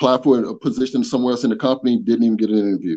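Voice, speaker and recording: This man talks very fast with an Atlanta accent. His tone is dark and mellow. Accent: Southern US (Atlanta). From US South, Atlanta, Georgia. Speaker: online community member, corporate manager. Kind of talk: interview, casual chat.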